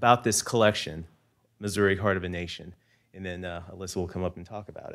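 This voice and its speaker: Against a quiet background, a man with a very deep, low pitch talks at a very fast pace with fairly even intonation. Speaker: speaker. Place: hall. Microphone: podium.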